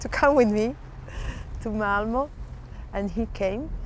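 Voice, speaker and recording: A rather high-pitched woman's voice proceeds at a rather unhurried rate. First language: not English. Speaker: city official in a European project. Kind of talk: interview testimony. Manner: hesitant, with fillers.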